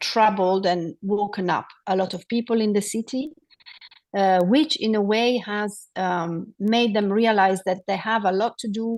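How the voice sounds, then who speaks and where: A woman with a non-native accent speaks at a medium pitch and a fairly slow pace, with fairly even intonation and a quiet background. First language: not English. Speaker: city official on a climate panel. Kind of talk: panel discussion. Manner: halting, many fillers.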